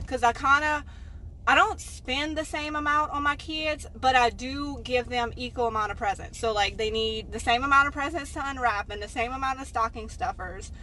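A woman in a raised, projected voice keeps a moderate pace with ordinary pitch variation, in a dry sound with no echo over light background noise. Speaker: thrift haul vlogger. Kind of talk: casual vlog chat. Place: car. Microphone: phone near.

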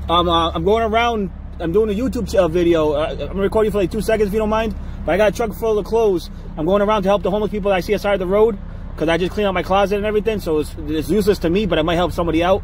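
A man speaks very fast in a high voice with fairly even intonation. The sound is dry with no echo, over light background noise. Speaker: vlogger giving away clothes. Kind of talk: casual vlog chat. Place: car. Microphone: phone near.

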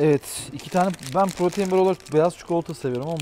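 Over light background noise, a man with a dark, mellow tone talks at a very fast pace. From Turkey. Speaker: travel vlogger. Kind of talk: casual vlog narration.

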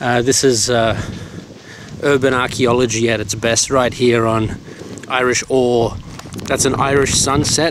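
A man talks at a fairly slow pace with monotone, flat intonation and long, frequent pauses. The sound is dry with no echo, with noticeable background noise. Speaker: vlogger. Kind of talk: casual vlog chat. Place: street. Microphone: phone near.

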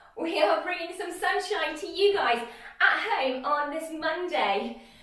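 Her voice is extremely high-pitched, and the woman speaks at a fairly slow pace. Room echo is audible. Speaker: fitness instructor. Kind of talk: workout instruction. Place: home room. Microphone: camera far.

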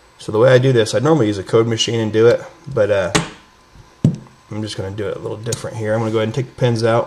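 Clear background noise fills the recording as a man speaks at a very fast rate. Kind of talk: tutorial. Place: workshop.

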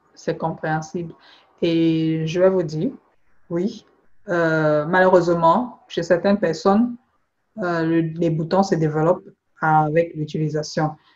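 A fairly low-pitched woman at a very slow pace, her intonation fairly even, with long, frequent pauses. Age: 40s. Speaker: beauty product seller and skin consultant. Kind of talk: phone consultation. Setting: phone call.

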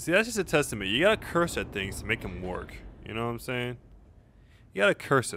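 Very fast and broken by long, frequent pauses, a man's voice shows vocal fry and very wide pitch swings. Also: medium pitch for a man, big swings in loudness. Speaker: gaming YouTuber. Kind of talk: let's play commentary. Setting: home recording. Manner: casual, rambling, profane.

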